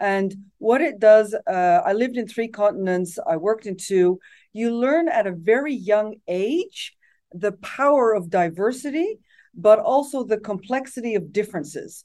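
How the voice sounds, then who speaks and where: A woman's dark, mellow voice with lively intonation, at a moderate pace over a quiet background. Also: fairly high pitch for a woman. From Netherlands, raised partly abroad as expat child. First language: Dutch. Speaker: tech company executive. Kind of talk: interview.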